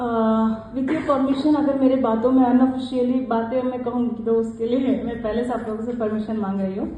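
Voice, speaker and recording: At a moderate pace with hardly any pauses, a woman speaks in a high pitch with monotone, flat intonation. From South India, Karnataka (Mysore district). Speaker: club member, one-day national president. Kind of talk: acceptance speech. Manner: halting, with many fillers.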